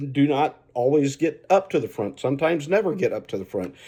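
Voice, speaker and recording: A dark, mellow tone with lively intonation at a moderate pace, over a quiet background. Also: man. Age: 60s. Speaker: racing commentary vlogger. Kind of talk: casual opinion monologue. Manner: rambling, halting with repetitions.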